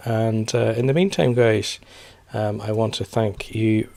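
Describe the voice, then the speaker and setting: This man has a British accent. He talks fairly slowly. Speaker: personal finance youtuber. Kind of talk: casual vlog commentary. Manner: hesitant, many fillers.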